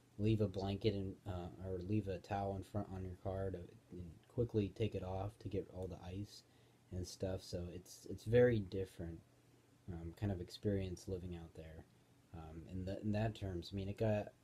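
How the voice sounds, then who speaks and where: Very deep and low, a man's somewhat breathy voice carries a dark, mellow tone and monotone, flat intonation. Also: moderate pace. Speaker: vlogger. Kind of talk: casual vlog chat. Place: home room. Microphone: phone near.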